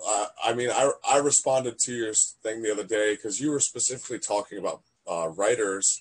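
In a normal speaking voice, a man with an American accent talks at a moderate pace and medium pitch with ordinary pitch variation. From Virginia, Fredericksburg. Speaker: podcast host. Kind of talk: casual chat.

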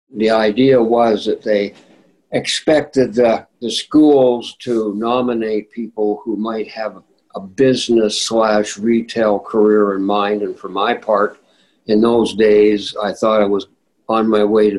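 A man with a Manitoban accent, fairly low-pitched and monotone, at a fairly slow pace. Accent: Canadian (Manitoba). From Winnipeg, Manitoba, Canada. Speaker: retired judge. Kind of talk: interview reminiscence. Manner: halting with repetitions.

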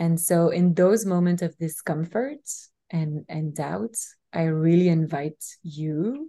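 Over a quiet background, a woman speaks with a fairly low pitch and a dark, mellow tone that is somewhat breathy. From Belgium. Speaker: spiritual teacher. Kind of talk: interview conversation.

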